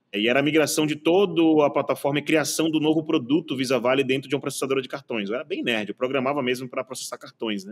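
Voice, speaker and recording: The male speaker, fairly high in pitch, rushes at a very fast pace with hardly any pauses and ordinary pitch variation. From Bahia, Brazil. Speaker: tech innovation executive. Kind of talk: casual podcast interview. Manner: animated.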